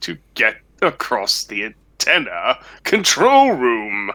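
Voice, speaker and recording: At a very slow pace, a put-on character voice delivers the lines. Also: man. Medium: audio drama. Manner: smug, drawling.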